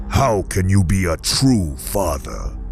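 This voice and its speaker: A cartoonish character voice speaks at a fairly slow pace over clear background noise. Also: man, very deep, low pitch for a man. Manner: measured, formal, persuasive.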